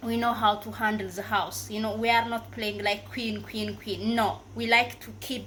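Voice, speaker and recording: Fairly slow speech from a woman amid audible room echo. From Africa. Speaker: YouTuber. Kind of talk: casual advice vlog. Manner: halting, many fillers and self-corrections.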